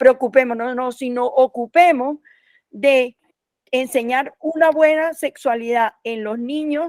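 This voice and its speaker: The speaker is a woman with a high pitch. She talks at a very slow pace. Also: dry, close sound with no echo. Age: 60s. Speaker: sexology professor. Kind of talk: panel discussion.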